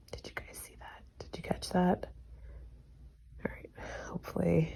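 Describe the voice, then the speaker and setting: Whispering at a moderate pace, a woman's voice shows big swings in loudness. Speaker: vlogger. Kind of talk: casual vlog.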